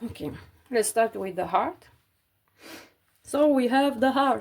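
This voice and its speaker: Lively intonation at a very slow pace, in a non-native accent. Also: woman, high pitch for a woman. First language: not English. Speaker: cross-stitch crafter vlogger. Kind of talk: casual tutorial while stitching. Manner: halting, many fillers.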